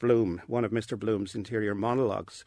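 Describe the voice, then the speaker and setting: A man with a Dublin accent on a very clean recording against a silent background. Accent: Dublin Irish. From Ireland, Dublin. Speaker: professor of literature. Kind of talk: interview. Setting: studio.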